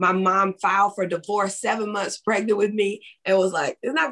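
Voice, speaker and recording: In a Southern US accent, a woman speaks at a medium pitch. Her pace is fairly quick. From West Tennessee (Jackson). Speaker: author and ministry founder. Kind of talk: interview.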